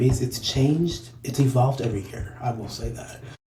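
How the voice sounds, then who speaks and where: The room echo is audible. A man talks with fairly even intonation. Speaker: podcast co-host. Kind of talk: casual chat.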